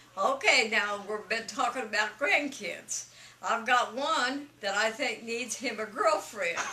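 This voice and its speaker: A woman's fairly high-pitched voice at a fairly slow pace, over noticeable background noise. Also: ordinary pitch variation. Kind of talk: casual conversational advice.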